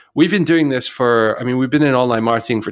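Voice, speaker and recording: A man with a British accent speaks at a medium pitch with ordinary pitch variation in a very clean recording with a silent background. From UK. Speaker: podcast co-host, online marketer. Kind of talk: casual chat.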